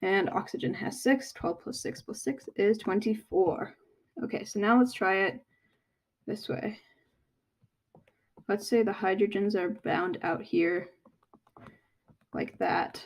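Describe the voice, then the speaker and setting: A woman at medium pitch, lively in intonation, fairly slow in pace, with long, frequent pauses. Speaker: chemistry tutor. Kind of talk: tutorial.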